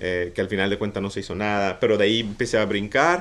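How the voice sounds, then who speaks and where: In an ordinary speaking voice, a man talks fairly low and at a fairly quick pace. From Mexico, Mazatlán; Mexico. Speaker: art director and street artist; interview guest. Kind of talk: casual interview. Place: office. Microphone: studio mic.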